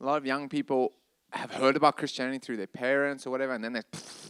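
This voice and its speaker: A man with a South African accent at medium pitch, with fairly even intonation and a dry, close sound with no echo. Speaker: ministry leader. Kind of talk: panel discussion.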